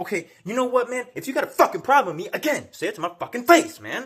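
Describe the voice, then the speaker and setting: An animated man at a very fast pace, with very wide pitch swings. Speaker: video blogger on faith and gangstalking. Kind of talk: video monologue. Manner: loud; animated, repetitive filler 'man'.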